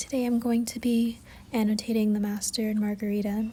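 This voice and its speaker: A soft-spoken voice at a moderate pace. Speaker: book annotation vlogger. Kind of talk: soft-spoken ASMR-style voiceover. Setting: home, city noise in background.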